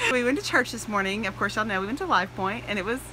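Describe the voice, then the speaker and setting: A woman talks with a fairly high pitch. The sound is dry with no echo, over light background noise. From Texas. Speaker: family vlogger. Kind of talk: casual vlog talk to camera. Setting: in a car. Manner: animated. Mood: cheerful, relieved.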